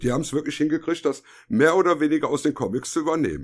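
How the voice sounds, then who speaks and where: A man with a fairly high voice and vocal fry speaks with lively intonation at a fairly quick pace. The recording is very clean, with a silent background. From Germany, Düsseldorf. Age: 50s. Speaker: podcast co-host. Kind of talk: casual chat.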